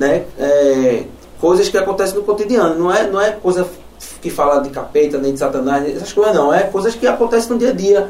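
With noticeable background noise and audible room echo, a man talks at a fairly quick pace in a high voice with lively intonation. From Olinda, Pernambuco, Brazil. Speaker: metal musician. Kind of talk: casual chat. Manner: halting.

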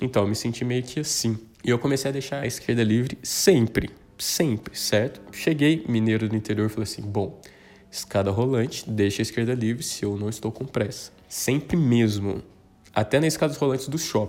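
At a moderate pace, a man with a medium pitch and ordinary pitch variation has an unremarkable speaking voice. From southern Minas Gerais, Brazil. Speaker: podcaster. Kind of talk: casual solo monologue.

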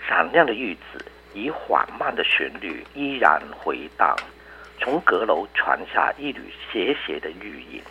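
A man speaks at a very slow pace. Noticeable background noise sits behind him. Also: big swings in loudness. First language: Cantonese (speaking Chinese). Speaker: professor and poet. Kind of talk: reading aloud; interview.

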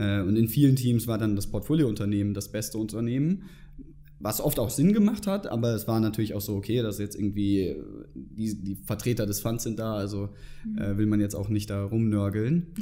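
A man talks at a moderate pace with a fairly low pitch. His dark, mellow tone shows ordinary pitch variation. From northern Germany, near Hamburg. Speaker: former student club member, finance professional. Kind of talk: interview. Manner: hesitant with many fillers.

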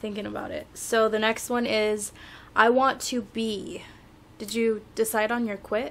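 In a normal speaking voice, a woman with fairly high pitch talks at a moderate pace with fairly even intonation. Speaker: podcast co-host. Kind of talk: casual chat. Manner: laughing, relaxed.

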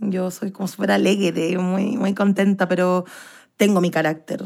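Ordinary pitch movement runs through this vocal-fry-laden voice. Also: woman. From Chile, Santiago. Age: 20s. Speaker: actress and dancer. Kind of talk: interview.

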